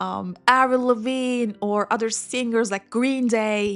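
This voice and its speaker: In a Turkish accent, the speaker uses monotone, flat intonation at a fairly slow pace. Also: woman. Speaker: English learning YouTuber. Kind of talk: personal storytelling. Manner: slow, clear.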